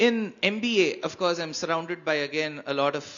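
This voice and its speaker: A fairly slow pace in a Tamil accent. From India, Karnataka. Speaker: spiritual speaker. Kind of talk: panel discussion.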